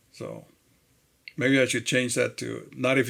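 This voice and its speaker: A man's voice with vocal fry, medium pitch and moderate pace, in a very clean recording, silent background. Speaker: day trader, video host. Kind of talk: trading recap commentary. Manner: casual, frequent hesitations with uh.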